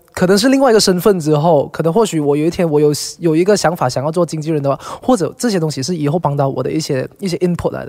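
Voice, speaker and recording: Speech comes at a very fast pace with hardly any pauses and ordinary pitch variation. Noticeable background noise is present. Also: man, fairly high pitch for a man. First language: Cantonese (speaking Chinese). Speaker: singer. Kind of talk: casual chat.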